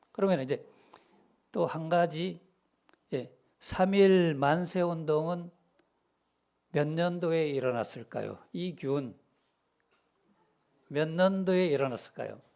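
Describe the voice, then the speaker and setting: A man's high-pitched voice at a very slow pace, with long, frequent pauses and ordinary pitch variation. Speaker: preacher. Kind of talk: sermon. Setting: church. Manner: conversational, asks congregation questions.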